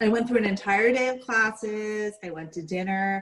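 A woman with an American accent has an unremarkable speaking voice at a fairly high pitch. She talks at a fairly slow pace with ordinary pitch variation. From New York, Staten Island. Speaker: former cult member. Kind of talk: interview testimony.

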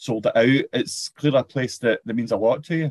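Here is a man in a Scottish accent. He goes at a moderate pace, the sound dry and close with no echo. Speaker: podcast host. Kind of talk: casual interview.

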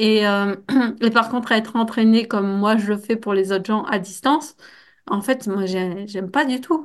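In an ordinary speaking voice, a woman talks at a moderate pace with a fairly high pitch and ordinary pitch variation against a quiet background. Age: 30s. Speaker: athletic trainer and trail runner. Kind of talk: casual interview.

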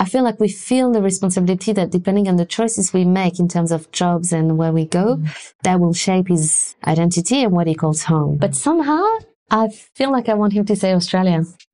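In a French accent, a woman talks at a fairly quick pace in a dark, mellow tone. Her loudness stays very even, with ordinary pitch variation. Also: medium pitch for a woman. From France. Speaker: arts and culture worker, mother. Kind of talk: interview conversation.

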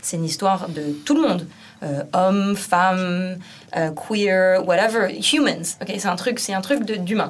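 A woman's medium-pitched voice at a fairly slow pace, with audible room echo. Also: ordinary pitch variation. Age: 30s. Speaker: street artist. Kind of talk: casual chat.

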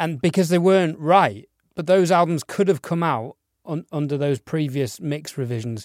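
A man with a normal speaking voice, fairly high in pitch, with ordinary pitch variation and moderate pace, in a very clean, dry, close recording with no echo and a silent background. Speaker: podcast co-host and mix engineer. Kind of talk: casual interview chat.

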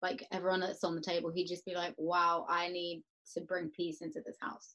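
A woman speaks with an Essex accent. Her pace is moderate. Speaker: podcast guest. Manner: lively, chatty.

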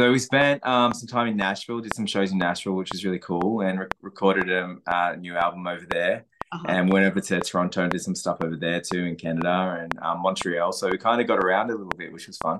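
A man with an Australian accent talks at a very fast pace. His pitch is very deep and low, with ordinary variation. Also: hardly any pauses. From Australia, south coast of New South Wales. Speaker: country musician. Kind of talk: casual interview.

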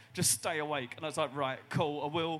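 This man has an ordinary speaking voice, pitched fairly high. He talks at a fairly quick pace. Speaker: comedian. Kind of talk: live comedy panel show. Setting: stage with audience.

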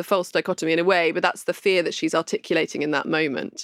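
A woman talking very fast, dry and close with no echo, on a very clean recording with a silent background. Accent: southern English. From London. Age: young. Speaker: novelist. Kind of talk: interview.

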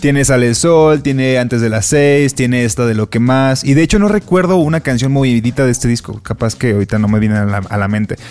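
A man with a Mexican accent, fairly quick and nearly pause-free, with ordinary pitch variation and noticeable background noise. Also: medium pitch for a man. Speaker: podcast co-host. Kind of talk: casual chat.

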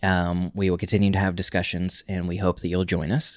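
In a very clean recording with a silent background, a man speaks with an American accent. His pitch is very deep and low. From Oklahoma, small town. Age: 30s. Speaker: podcast host. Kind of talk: casual chat.

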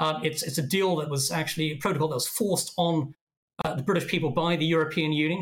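A man's fairly high voice at a very fast pace, with fairly even intonation. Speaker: think tank director. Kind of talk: interview discussion. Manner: hesitant, filler-heavy.

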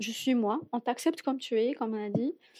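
A woman's unremarkable speaking voice, fairly high in pitch, with fairly even intonation. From Algeria, Algiers. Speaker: immigrant guest. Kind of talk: casual interview.

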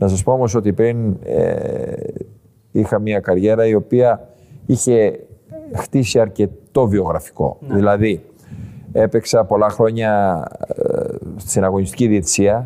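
A man speaks at a fairly slow pace with very even loudness. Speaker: football club president and former referee. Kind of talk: casual interview. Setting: club premises in Tripoli.

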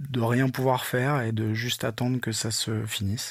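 A man's delivery comes at a middling speed, his intonation flat and monotone throughout. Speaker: volunteer first aider and music tour manager. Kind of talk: testimony. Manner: halting, many fillers and repetitions.

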